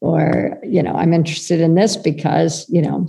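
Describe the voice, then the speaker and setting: A woman speaks in an American accent with a fairly low pitch and a dark, mellow tone. Her voice has vocal fry. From United States. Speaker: children's wellness project founder. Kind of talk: interview conversation.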